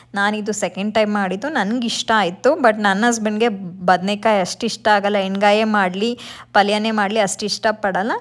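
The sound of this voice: The speaker here is a woman. Her voice sits at a medium pitch.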